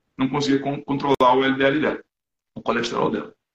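A man speaks at a fairly high pitch. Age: 50s. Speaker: amateur triathlete and low-carb enthusiast. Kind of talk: casual interview. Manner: halting, many repeated words.

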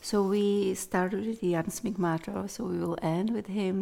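A woman speaks in a Czech accent with a dark, mellow tone. Her pitch is medium and her intonation fairly even. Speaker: interviewer. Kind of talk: casual interview chat. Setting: studio.

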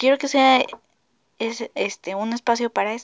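Her intonation is fairly even. The woman's voice sits fairly high. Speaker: podcast host. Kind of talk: casual monologue. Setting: alone in her bedroom. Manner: halting; frequent laughter.

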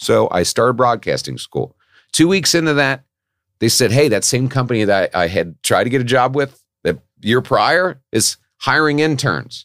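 On a very clean recording with a silent background, a man of medium pitch speaks at a moderate pace with lively intonation and vocal fry. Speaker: podcast guest in recovery. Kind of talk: casual chat. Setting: studio. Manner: animated, chatty.

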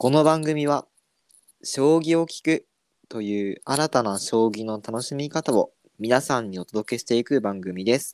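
A man speaks in a plain, everyday voice at medium pitch and a fairly slow pace, with ordinary pitch variation. His loudness swings widely, and the sound is dry and close with no echo. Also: very clean recording, silent background. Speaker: podcast host. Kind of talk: casual chat.

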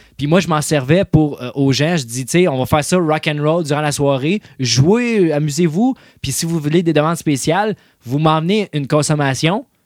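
At a moderate pace, a man with a fairly high pitch and ordinary pitch variation speaks in a normal speaking voice, the sound dry and close with no echo. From Quebec, Salaberry-de-Valleyfield. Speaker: DJ and rock musician. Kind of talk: casual chat.

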